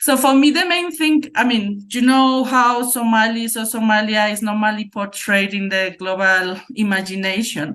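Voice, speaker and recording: A woman's fairly high voice in a Spanish accent, at a moderate pace, with ordinary pitch variation and audible room echo. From Spain. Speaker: academic researcher. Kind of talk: conference presentation.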